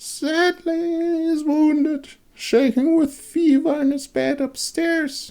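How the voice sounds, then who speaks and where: A put-on character voice, squeaky and raspy, comes out at a high pitch and a fairly slow pace. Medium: read story.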